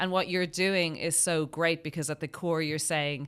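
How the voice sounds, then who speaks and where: A woman with an Irish accent, fairly low-pitched, bright and sharp in tone, at a moderate pace, on a very clean recording with a silent background. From Ireland. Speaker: podcast host. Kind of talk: interview.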